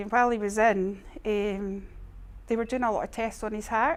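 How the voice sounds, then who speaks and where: The speaker has an Edinburgh accent and moves at a fairly quick pace. Pitch varies in an ordinary way. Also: woman. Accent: Scottish (Edinburgh). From Scotland, Edinburgh. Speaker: charity admin manager. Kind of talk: testimony. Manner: halting.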